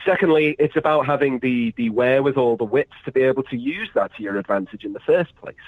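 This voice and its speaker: A man talks at a very fast pace. He leaves hardly any pauses. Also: medium pitch for a man, ordinary pitch variation. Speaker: pro wrestler. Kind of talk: podcast interview. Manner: halting, many fillers and repeats.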